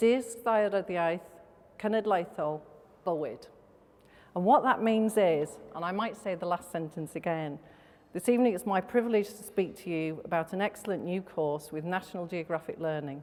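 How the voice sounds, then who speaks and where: Moderate pace in a Welsh accent, with ordinary pitch variation and big swings in loudness. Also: woman, medium pitch for a woman. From Wales. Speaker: company executive. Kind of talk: welcome speech. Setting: stage with audience.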